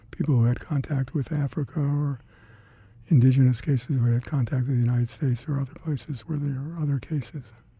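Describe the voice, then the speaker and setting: A somewhat breathy man talks very fast in a dark, mellow tone. His intonation stays fairly even. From Detroit, Michigan. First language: Hungarian. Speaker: retired CDC laboratory scientist. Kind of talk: oral history interview. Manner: halting.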